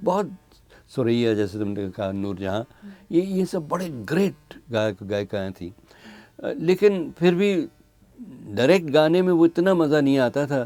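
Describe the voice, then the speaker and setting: A fairly high-pitched male voice, dark and mellow in tone, with very wide pitch swings. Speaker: radio announcer. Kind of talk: interview answer.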